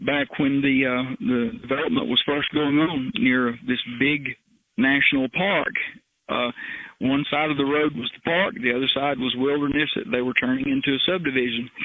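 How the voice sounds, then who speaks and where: This is a man with a normal speaking voice. His pitch is fairly high, with ordinary pitch variation. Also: moderate pace. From Appalachian foothills, US. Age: 60s. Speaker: retired criminal investigator and helicopter pilot. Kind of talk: interview.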